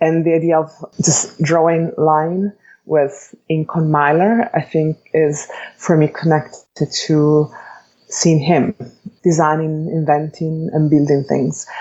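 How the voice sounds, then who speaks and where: A woman's very deep, low voice in an Italian accent, at a very slow pace with fairly even intonation and very even loudness. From Italy, Bologna. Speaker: architect and educator. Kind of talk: interview. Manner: measured, with frequent hesitations.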